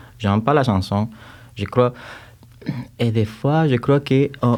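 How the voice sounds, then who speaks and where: Speaking in a strong Cuban accent, a man has a medium pitch and a dark, mellow tone. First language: Spanish (speaking French). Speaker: music teacher, composer and choir conductor. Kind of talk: podcast interview. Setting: studio. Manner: halting, with repetitions.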